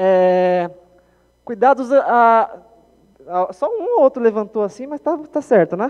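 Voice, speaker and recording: The man's pitch swings very widely as he speaks. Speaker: software developer and conference speaker. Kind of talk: conference talk. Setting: stage with audience. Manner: fast; animated.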